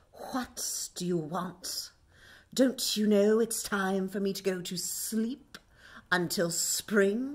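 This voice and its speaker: Using a put-on character voice at a medium pitch, a woman speaks at a very slow pace, with hissing in the sound. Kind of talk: grumpy, unwelcoming. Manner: hissing, irritated.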